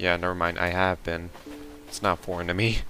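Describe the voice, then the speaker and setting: A man's very deep, low voice with music in the background. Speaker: gaming video creator. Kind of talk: casual gameplay commentary. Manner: hesitant, filler-heavy.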